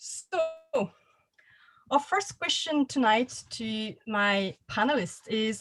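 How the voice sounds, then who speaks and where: With a French accent, a woman speaks at a high pitch. Her intonation is lively. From France. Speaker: panel host, writer. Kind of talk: panel discussion moderation.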